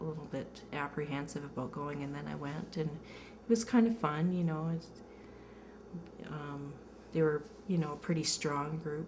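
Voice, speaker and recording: Speaking at a moderate pace with a very deep, low pitch and ordinary pitch variation, a woman with a Canadian accent is heard through audible room echo and noticeable background noise. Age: 30s. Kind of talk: interview testimony. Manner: halting, many fillers.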